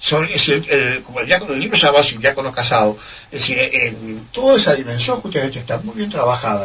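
A man's medium-pitched voice with lively intonation, over noticeable background noise. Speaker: priest. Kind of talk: interview. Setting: radio studio. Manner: formal.

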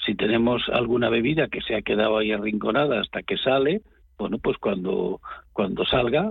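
A man's speech, in a normal speaking voice, at medium pitch with ordinary pitch variation and a moderate pace.

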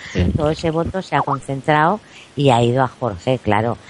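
A woman's intonation is lively as she talks at a moderate pace. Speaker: celebrity journalist and TV pundit. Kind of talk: interview. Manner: calm, not shrill.

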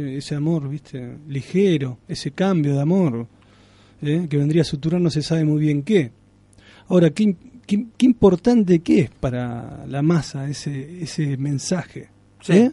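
At a fairly slow pace, a man speaks in a fairly high, somewhat breathy voice with a dark, mellow tone and ordinary pitch variation. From Argentina, Santa Fe province (Alcorta). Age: 30s. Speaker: writer. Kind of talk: radio interview.

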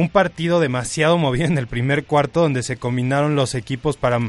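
His pace is moderate and his pitch varies in an ordinary way. This man uses an ordinary speaking voice with a fairly high pitch. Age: 20s. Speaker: sports co-host on university radio. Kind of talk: casual radio chat. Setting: radio studio.

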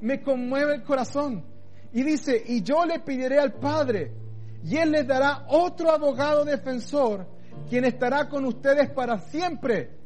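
Here a man talks at a fairly slow pace with ordinary pitch variation. His pitch is extremely high. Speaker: pastor. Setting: online church service, recorded for video. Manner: tender, pastoral, persuasive; slows into a fatherly voice when voicing God's words; firm, convicted, emphatic on key declarations.

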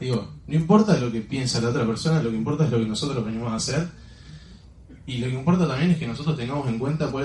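At a medium pitch, a man races along at a very fast pace, his pitch varying in an ordinary way. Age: 20s. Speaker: network marketing distributor. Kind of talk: motivational talk.

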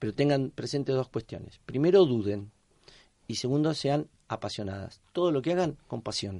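Against a quiet background, a man with a dark, mellow tone and medium pitch speaks at a moderate pace with lively intonation. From Argentina, La Plata. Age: 50s. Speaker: rugby coach and PE teacher. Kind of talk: interview.

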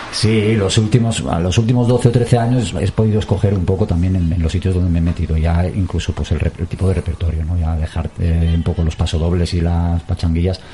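Against noticeable background noise, a man talks fairly quickly in a very deep, low pitch with ordinary pitch variation. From Basque Country, Portugalete. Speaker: musician. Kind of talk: interview.

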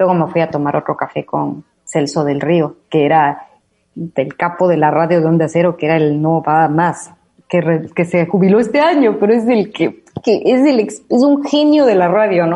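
A woman with an Ecuadorian accent speaks at a moderate pace in a fairly low pitch, her tone dark and mellow, her intonation lively and her loudness very even. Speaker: radio host. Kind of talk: casual chat.

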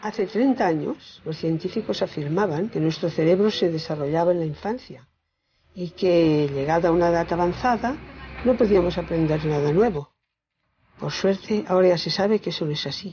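A woman's fairly low, somewhat breathy voice with lively intonation. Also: moderate pace. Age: 80s+. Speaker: retiree. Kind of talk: scripted narration.

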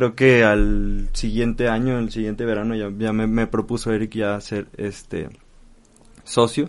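A man with a Mexican accent and monotone, flat intonation. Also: medium pitch for a man, fairly slow pace. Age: 20s. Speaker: business partner. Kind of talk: interview.

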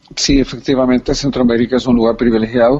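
A man's voice over noticeable background noise. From El Salvador. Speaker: poet. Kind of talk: interview.

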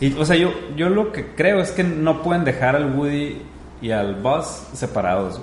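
A man with a fairly high pitch and lively intonation, amid noticeable background noise and audible room echo. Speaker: podcast host. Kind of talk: casual chat.

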